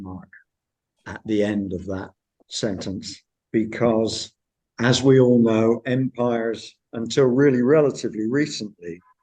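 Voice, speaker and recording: With a strong West Country accent, a man talks at a very slow pace. His voice sits at medium pitch with ordinary pitch variation. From Cornwall, south-west England. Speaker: history professor. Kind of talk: academic lecture. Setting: university seminar with online audience.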